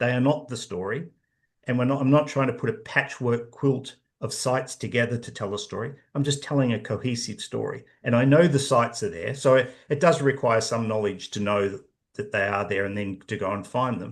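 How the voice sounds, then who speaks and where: A man's medium-pitched, somewhat breathy voice with an Australian accent and ordinary pitch variation. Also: fairly quick pace, quiet background. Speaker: professor and author. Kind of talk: interview.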